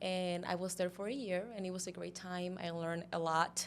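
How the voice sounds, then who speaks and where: The delivery moves at a moderate speed. It is spoken with a Spanish accent. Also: woman. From Cuba. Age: 20s. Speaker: model and pageant queen. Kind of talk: interview.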